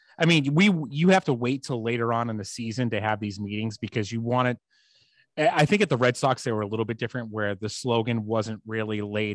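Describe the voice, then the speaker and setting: Speaking with a Boston accent at a fairly quick pace, the voice shows ordinary pitch variation. The sound is dry and close with no echo, over a quiet background. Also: man. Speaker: podcast co-host.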